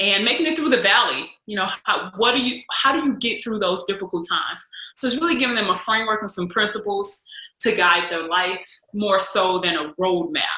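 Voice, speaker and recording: A woman with an American accent talks fairly quickly at a medium pitch with lively intonation, and room echo is audible. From US Midwest, St. Louis, Missouri. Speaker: speaker and former college basketball player. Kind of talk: podcast interview.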